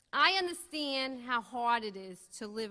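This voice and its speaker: A woman with a slight Brooklyn accent speaks at a fairly high pitch with ordinary pitch variation. Her tone is bright and sharp. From Brooklyn, New York. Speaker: Republican congressional candidate. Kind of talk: candidate forum speech.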